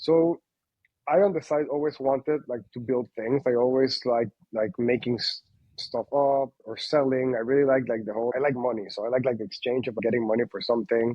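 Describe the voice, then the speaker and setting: Speaking with a Spanish accent, a man with a medium pitch talks at a fairly quick pace with fairly even intonation. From Panama. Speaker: company founder. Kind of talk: interview. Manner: halting, many fillers.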